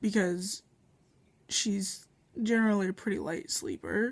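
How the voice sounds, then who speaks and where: This woman's voice sounds somewhat breathy. She keeps to a fairly slow pace. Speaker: vlogger. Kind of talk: casual vlog. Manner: hesitant, many fillers.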